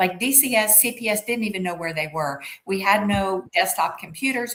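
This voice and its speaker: At a moderate pace and with hardly any pauses, a woman talks in a medium-pitched voice with ordinary pitch variation over noticeable background noise. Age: 70s. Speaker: suspended family lawyer and advocate. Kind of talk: interview.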